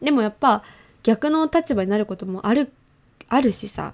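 A woman speaks in an animated tone at a moderate pace. Her intonation is lively. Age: 20s. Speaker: podcast host. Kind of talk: casual chat.

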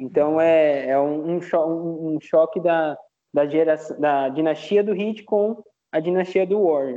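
Very slowly, a man with a fairly high pitch speaks with ordinary pitch variation. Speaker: basketball fan podcaster. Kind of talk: casual sports analysis chat.

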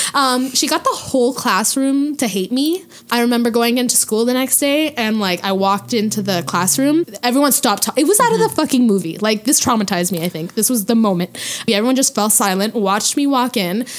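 The speech runs at a very fast clip with hardly any pauses and lively intonation. Loudness stays very even over noticeable background noise. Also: woman, fairly high pitch for a woman. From Quebec, Hull (Gatineau). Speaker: podcast co-host guest. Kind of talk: casual chat.

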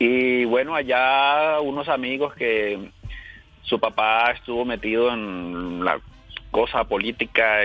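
A man with an unremarkable speaking voice, medium pitch and ordinary pitch variation. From Colombia, La Guajira / Valledupar. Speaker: caller, bank worker. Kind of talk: call-in chat.

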